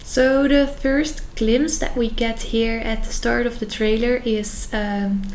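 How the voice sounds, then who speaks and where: Amid noticeable background noise and audible room echo, a woman with a Dutch accent speaks in a fairly high pitch with fairly even intonation. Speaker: youtuber. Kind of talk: casual reaction video commentary. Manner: hesitant, many fillers.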